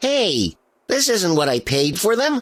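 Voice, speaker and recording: A man's put-on character voice, high in pitch, with very wide pitch swings at a fairly slow pace. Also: dry, close sound with no echo. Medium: video game. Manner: polite, awkward, self-pitying.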